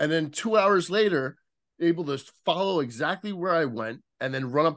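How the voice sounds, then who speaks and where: With lively intonation, a man with a New Jersey accent talks over a quiet background. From US Northeast, Central New Jersey. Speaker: former police detective and author. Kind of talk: podcast interview. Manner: halting, repetitive starts.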